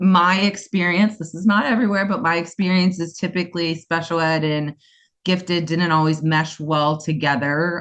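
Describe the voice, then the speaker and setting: A woman with a US East Coast accent speaks at a moderate pace in a fairly low voice against a quiet background. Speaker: special education school founder. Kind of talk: interview. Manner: animated.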